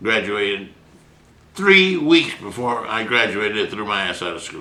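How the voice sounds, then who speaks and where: Over noticeable background noise and audible room echo, a man talks in an animated tone at a moderate pace, his fairly low voice carrying lively intonation and big swings in loudness. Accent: American. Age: 80s+. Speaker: physician, writer and painter. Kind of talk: interview. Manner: animated storytelling.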